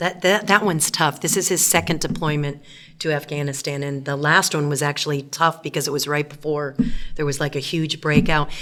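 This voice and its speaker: A woman with a very deep, low pitch talks at a fairly quick pace, her intonation fairly even. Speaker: teacher and pastor's wife. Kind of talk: interview. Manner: loud; clear enunciation.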